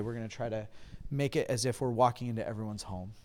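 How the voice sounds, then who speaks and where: A man speaks with an American accent and fairly even intonation in an unremarkable speaking voice. The recording is very clean, with a silent background. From California. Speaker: pastor. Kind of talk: interview. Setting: convention.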